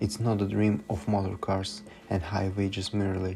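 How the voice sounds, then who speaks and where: A man with a non-native accent speaks at a moderate pace, his fairly low pitch held in fairly even intonation. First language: not English. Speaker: student. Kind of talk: student presentation narration. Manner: unpolished diction.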